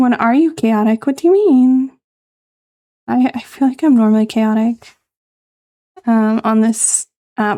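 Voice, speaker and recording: A woman whispers in a soft-spoken way. She goes at a fairly slow pace with long, frequent pauses. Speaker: VTuber streamer. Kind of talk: casual live-stream chat. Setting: live stream. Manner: whispering.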